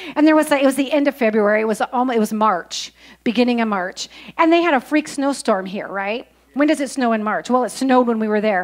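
At a very fast pace, a woman speaks at a high pitch with ordinary pitch variation over a quiet background. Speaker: church announcer. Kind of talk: church announcements. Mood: humorous, lively. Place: church. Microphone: handheld.

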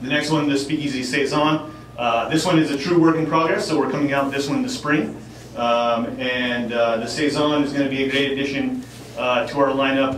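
Audible room echo and light background noise surround a man's voice. He speaks at a fairly quick pace with fairly even intonation. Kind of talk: informal presentation to audience. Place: bar.

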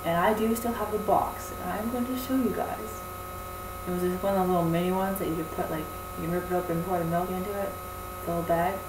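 A woman talks at a fast pace and a fairly low pitch, with ordinary pitch variation. Clear background noise runs behind her.

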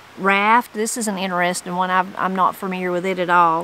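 A woman talks with a Southern Appalachian accent in a bright, sharp tone and fairly even intonation. The sound is dry with no echo, over light background noise. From western North Carolina mountains (Brasstown); western North Carolina. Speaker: YouTuber on Appalachian language; channel host. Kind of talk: reading aloud with commentary. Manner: casual, conversational. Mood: warm, relaxed. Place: garden. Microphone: phone near.

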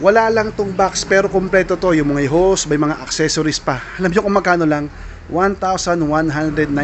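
Amid light background noise, a man with a high pitch and ordinary pitch variation speaks at a moderate pace. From Philippines. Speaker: vlogger; shopping vlogger. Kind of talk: shopping vlog walkthrough. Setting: in a surplus store. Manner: animated. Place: shop. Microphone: phone near.

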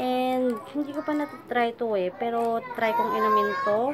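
Noticeable background noise and audible room echo surround the recording. A woman speaks at a high pitch. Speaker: vlogger. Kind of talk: casual vlog haul. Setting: at home. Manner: halting, stop-start.

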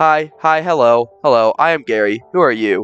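At a fairly slow pace, a man performs a put-on character voice at medium pitch. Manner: loud, shouting.

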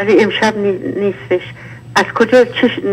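A woman speaks at a fairly quick pace with a medium pitch. Noticeable background noise is present. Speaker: caller, sex worker speaking about her life. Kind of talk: emotional testimony on live call-in show. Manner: emotional, impassioned.

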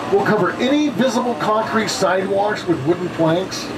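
Noticeable background noise runs under a man's voice. His intonation is lively. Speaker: studio tour guide. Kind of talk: tour guide commentary. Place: bus. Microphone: pa.

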